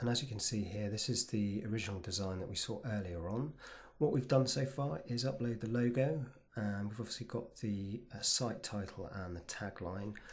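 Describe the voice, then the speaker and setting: This man's voice is medium in pitch and somewhat breathy, with ordinary pitch variation. He speaks at a moderate pace with a British accent. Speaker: web design tutor. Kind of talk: screen-recorded software tutorial. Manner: casual, relaxed.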